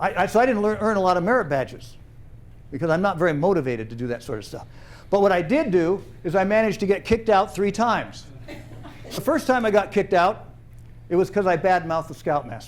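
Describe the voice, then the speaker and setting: Talking at a very fast pace with lively intonation and an animated tone, this speaker leaves long, frequent pauses. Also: man, high pitch for a man. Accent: American. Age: 70s. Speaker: storyteller, retired trainer. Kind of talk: personal storytelling performance. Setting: theater stage with audience.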